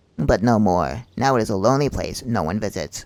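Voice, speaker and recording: Putting on a character voice, a man with a fairly low pitch speaks at a fairly quick pace. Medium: game stream. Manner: formal, measured.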